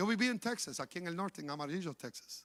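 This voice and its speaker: Against a silent background in a very clean recording, a man with a high pitch and a bright, sharp tone talks at a fairly quick pace. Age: 60s. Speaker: pastor. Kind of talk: sermon.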